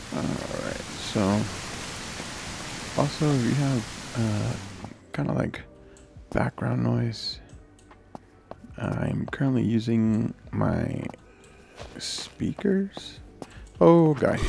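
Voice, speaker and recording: With music in the background, a man speaks quietly at a very slow pace, leaving long, frequent pauses. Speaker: gaming youtuber. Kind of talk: gameplay commentary. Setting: home at night while kids sleep.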